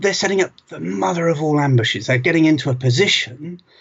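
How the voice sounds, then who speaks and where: A man with lively intonation, in a British accent. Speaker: museum director. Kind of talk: presentation to camera. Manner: conversational with hesitations.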